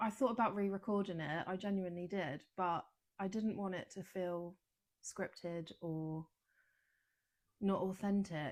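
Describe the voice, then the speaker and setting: Speaking at a fairly slow pace with long, frequent pauses, a woman with a British accent keeps a medium pitch and fairly even intonation. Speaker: wellness coach podcaster. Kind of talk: casual podcast monologue. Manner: hesitant, lots of ums and pauses.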